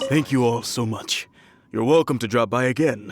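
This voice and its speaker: Using a raspy, put-on character voice at medium pitch, a man speaks at a moderate pace. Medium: video game. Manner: cheerful, chatty.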